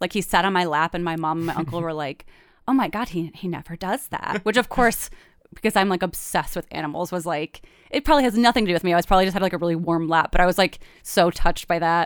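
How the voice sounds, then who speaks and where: A woman with a plain, everyday voice, fairly low in pitch with ordinary pitch variation, is heard in a dry, close sound with no echo on a very clean recording with a silent background. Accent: American. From Michigan. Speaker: writer and comedian. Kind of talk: casual interview storytelling.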